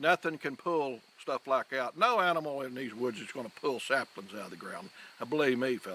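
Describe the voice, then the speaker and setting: Talking fairly quickly with a rural Southern US accent, a man uses a bright, sharp medium-pitched voice, lively intonation and big swings in loudness. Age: 60s. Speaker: hunter. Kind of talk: interview testimony. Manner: animated.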